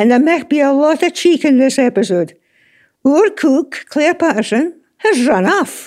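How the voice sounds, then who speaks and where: A woman with a Scottish accent talks at a fairly slow pace with very even loudness. Her high voice moves through very wide pitch swings. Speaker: gardening radio host. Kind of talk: casual chat.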